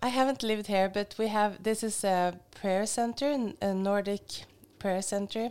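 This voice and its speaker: The speaker has a Norwegian accent and a moderate pace. Loudness is very even and intonation fairly even. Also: woman, medium pitch for a woman. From Norway (Hamar). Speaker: missionary and Bible teacher. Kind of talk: casual interview.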